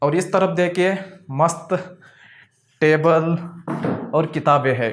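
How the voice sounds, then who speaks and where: The speaker has a non-native accent and keeps a fairly even intonation. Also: man, high pitch for a man. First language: not Hindi (speaking Hindi). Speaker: filmmaker and video editing teacher. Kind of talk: casual home and studio tour vlog.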